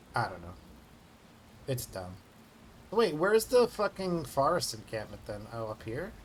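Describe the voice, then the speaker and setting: Speaking at a moderate pace with an American accent, a man with a medium pitch and a somewhat breathy voice makes very wide pitch swings and big swings in loudness, with long, frequent pauses. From New York. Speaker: video game streamer. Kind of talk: casual chat.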